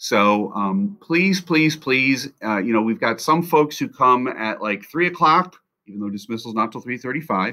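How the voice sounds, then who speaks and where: Against a quiet background, a man talks with a bright, sharp tone. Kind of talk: announcement to parents. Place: office. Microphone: webcam.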